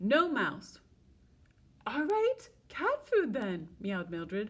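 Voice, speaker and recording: A put-on character voice delivers the words at a very slow pace. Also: woman, high pitch for a woman. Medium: read story.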